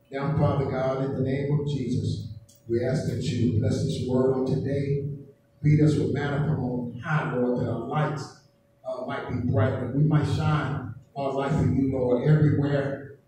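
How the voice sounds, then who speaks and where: A man talks at a fairly slow pace with fairly even intonation. Strong room echo and light background noise surround his voice. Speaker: preacher. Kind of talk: sermon. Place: church.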